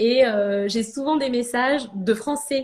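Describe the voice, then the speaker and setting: A woman speaks in a high pitch. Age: 30s. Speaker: ceramicist. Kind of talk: casual interview. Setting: live video stream.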